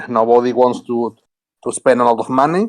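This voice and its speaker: A man with a Spanish accent and lively intonation against a quiet background. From Spain. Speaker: node operator guest. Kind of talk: technical talk on a community call. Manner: halting.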